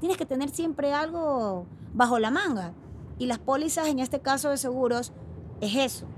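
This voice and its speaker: There is noticeable background noise in this clip. A woman talks at a moderate pace with ordinary pitch variation. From Ecuador, Guayaquil. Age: 30s. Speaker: insurance broker co-founder. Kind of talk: interview.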